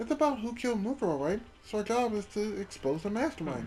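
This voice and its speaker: A put-on character voice with a fairly high pitch, delivered at a very fast pace. Background noise is clearly audible. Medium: game stream.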